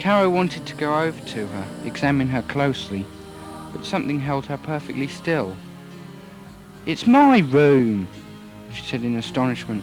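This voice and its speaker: Over music in the background, a man with a fairly high pitch and lively intonation talks at a moderate pace, leaving long, frequent pauses. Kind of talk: audiobook story reading.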